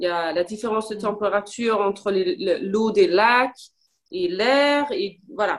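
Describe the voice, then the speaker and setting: The woman talks at a very slow pace. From Denmark. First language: Danish and English (speaking French). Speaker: language learner. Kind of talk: casual chat. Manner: halting.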